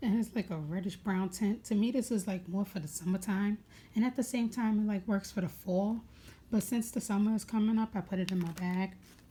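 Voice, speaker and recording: In an American accent, a woman speaks at a fairly quick pace, medium in pitch and somewhat breathy, her intonation fairly even. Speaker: beauty vlogger. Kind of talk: casual makeup tutorial. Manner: casual, hesitant with many fillers.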